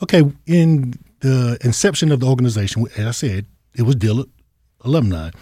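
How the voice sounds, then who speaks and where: With a North Carolina accent, a man talks at a fairly quick pace but with long, frequent pauses, his medium-pitched voice somewhat breathy and dark and mellow in tone, his intonation lively. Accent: US Southern, North Carolina. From eastern North Carolina, Goldsboro. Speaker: alumni association president, retired Army veteran. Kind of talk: interview.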